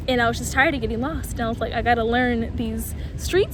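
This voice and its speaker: This woman talks at a very fast pace with an American accent and an animated tone. Noticeable background noise and audible room echo fill the recording. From US Mid-Atlantic (DC, Maryland, northern Virginia). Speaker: vlogger. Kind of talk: casual Q&A vlog. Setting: outdoors.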